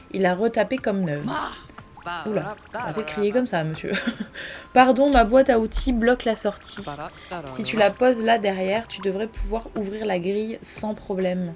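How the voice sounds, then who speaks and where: Against noticeable background noise, a woman with a fairly high pitch and ordinary variation talks at a moderate pace, leaving long, frequent pauses. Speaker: gaming YouTuber. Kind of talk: let's play commentary.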